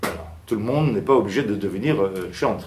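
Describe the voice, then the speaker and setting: With lively intonation and a fairly slow pace, the speech carries audible room echo. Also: man. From Istanbul, Turkey (Armenian community). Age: 60s. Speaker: liturgical chant researcher and musician. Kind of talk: conference talk. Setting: seated at a conference. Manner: hesitant, many fillers.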